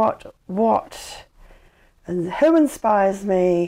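With a New Zealand accent, a woman speaks in a dark, mellow tone with ordinary pitch variation on a very clean recording with a silent background. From New Zealand, Dunedin. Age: 50s. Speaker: blind advocate and motivational speaker. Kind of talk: interview. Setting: at home.

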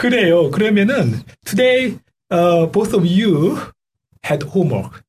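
Speaking with a Korean accent, a man talks slowly at a high pitch, with very wide pitch swings and long, frequent pauses. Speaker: community radio host. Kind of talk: radio interview. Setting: radio studio. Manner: halting.

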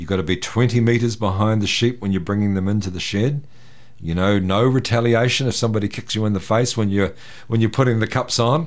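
With a New Zealand accent, a man speaks fairly quickly at a fairly low pitch. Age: 60s. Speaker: farm herdsman. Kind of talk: interview.

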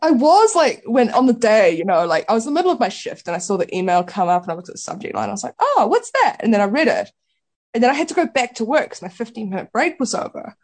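A woman speaks very fast at a high pitch. Her voice makes very wide pitch swings. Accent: New Zealand. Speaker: playwright. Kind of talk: casual chat. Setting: radio studio.

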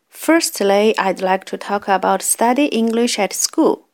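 In a very clean recording with a silent background and a dry, close sound with no echo, a woman speaks at a fairly high pitch with ordinary pitch variation, very slowly, with a Chinese accent. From China. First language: Mandarin Chinese. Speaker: community radio host. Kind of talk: radio talk presentation.

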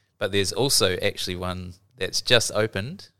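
With a New Zealand accent, a man speaks at a moderate pace in a fairly low voice with a bright, sharp tone, on a very clean recording with a silent background. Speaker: library learning specialist. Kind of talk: casual explanation.

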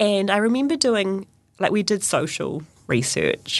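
With a New Zealand accent, a woman talks at a moderate pace. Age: 30s. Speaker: runner and teacher. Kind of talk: interview.

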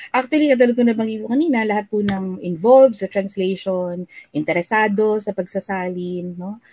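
Her tone dark and mellow, a woman speaks at a fairly quick pace with ordinary pitch variation. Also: medium pitch for a woman. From Philippines, Manila. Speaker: university lecturer in Filipino and translation. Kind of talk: interview.

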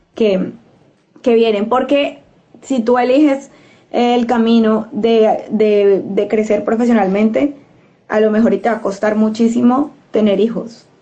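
This woman's voice sits at a fairly high pitch. Her intonation stays fairly even. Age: 30s. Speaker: community radio host. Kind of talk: casual discussion.

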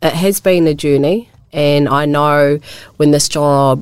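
With a New Zealand accent, a woman talks at a moderate pace in a very deep, low pitch, keeping her intonation fairly even. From New Zealand, Wairarapa. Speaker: community organisation worker. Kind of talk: radio interview. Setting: radio studio. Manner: hesitant, with fillers.

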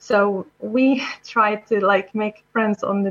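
The speaker talks with a fairly even intonation in an Arabic accent. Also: woman. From Syria. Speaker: software developer. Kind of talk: interview. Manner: halting.

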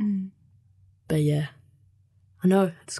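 In a New Zealand accent, a woman talks at a moderate pace with a medium pitch and fairly even intonation. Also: quiet background. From New Zealand (Canterbury, from age seven; born Mexico). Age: 20s. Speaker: youth community volunteer. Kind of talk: interview. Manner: casual, many fillers.

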